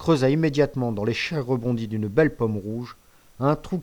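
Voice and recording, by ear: The text is read aloud in a natural voice.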